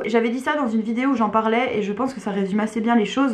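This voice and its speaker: Amid noticeable background noise and audible room echo, a woman speaks fairly quickly with a fairly high pitch and fairly even intonation. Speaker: book YouTuber. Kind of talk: casual video monologue. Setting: at home. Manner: hesitant, many fillers.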